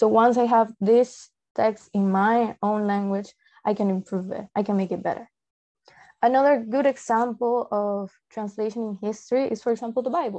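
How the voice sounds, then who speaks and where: The tone is dark and mellow, with fairly even intonation. The pace is moderate over a quiet background. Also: woman, fairly high pitch for a woman. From Peru. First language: Spanish. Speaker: translator. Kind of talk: presentation.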